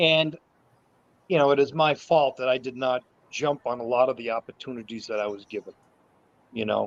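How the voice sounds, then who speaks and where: A man speaks at a medium pitch and a fairly quick pace, with ordinary pitch variation and long, frequent pauses, in a dry, close sound with no echo. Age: 60s. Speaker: martial arts instructor. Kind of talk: casual chat. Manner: halting.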